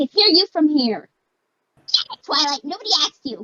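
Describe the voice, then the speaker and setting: A squeaky, cartoonish character voice moves along at a moderate pace. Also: woman, high pitch for a woman. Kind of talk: cartoon voice impression. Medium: game stream. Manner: bubbly, fast.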